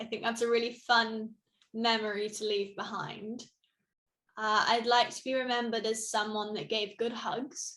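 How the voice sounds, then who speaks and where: In a British accent, a woman talks with a fairly high pitch. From Britain. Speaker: suicide awareness ambassador. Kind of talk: interview. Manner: animated.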